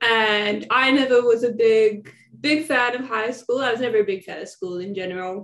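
Against a quiet background, a woman with an Australian accent and fairly high pitch talks at a moderate pace with big swings in loudness. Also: ordinary pitch variation. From Victoria, Australia. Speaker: former student. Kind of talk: interview. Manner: casual, filler-heavy. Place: home room. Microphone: phone near.

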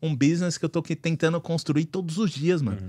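A man rattles off his words very fast against a quiet background. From Brazil. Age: 30s. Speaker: car dealer; podcast guest. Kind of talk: casual chat. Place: studio. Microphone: studio mic.

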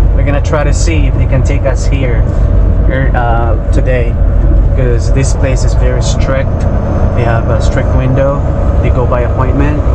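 The speech comes with long, frequent pauses. Loud background noise sits behind it. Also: moderate pace. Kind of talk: casual vlog chat. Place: car. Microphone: phone near.

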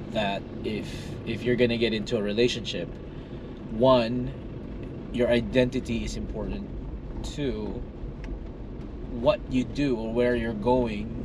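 Long, frequent pauses set against noticeable background noise. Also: man, dry sound with no echo. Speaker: pastor. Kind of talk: casual conversation, giving advice. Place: car. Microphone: phone near.

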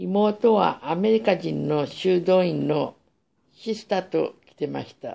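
A woman at a very slow pace, with big swings in loudness. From Japan, Sapporo, Hokkaido. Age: 60s. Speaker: vlogger telling life story; vlogger. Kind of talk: personal monologue. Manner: halting. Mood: calm, reminiscing. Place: home room. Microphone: phone near.

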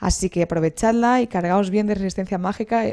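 Against a quiet background, a woman speaks with a dark, mellow tone and fairly even intonation. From Spain. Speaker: video game presenter; presenter. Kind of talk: video game tutorial. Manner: halting, frequent repetitions. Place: home room. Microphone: headset.

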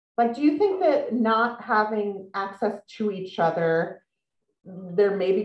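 Against a quiet background with audible room echo, a woman speaks with ordinary pitch variation. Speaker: author and magazine writer, interviewer; interviewer. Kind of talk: author interview. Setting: video call. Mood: warm, lively. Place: home room. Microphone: video call.

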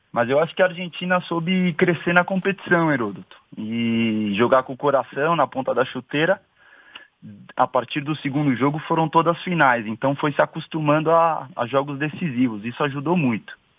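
A man's unremarkable speaking voice, fairly high in pitch, at a moderate pace with ordinary pitch variation. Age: 20s. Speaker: sales executive, football commentator guest. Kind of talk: radio interview.

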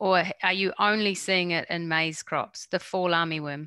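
A woman with a New Zealand accent, bright and sharp in tone, at a fairly slow pace. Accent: New Zealand twang. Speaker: workshop moderator. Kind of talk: Q&A session.

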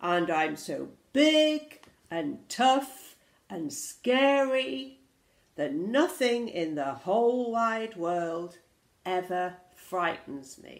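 In a put-on character voice, the speaker is bellowing at a very slow pace. The intonation is lively, and audible room echo fills the space. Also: woman, fairly low pitch for a woman.

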